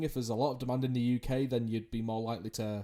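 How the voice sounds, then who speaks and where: The voice moves at a very fast pace with a dark, mellow tone. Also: man. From England. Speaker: podcast host, esports journalist. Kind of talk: interview podcast.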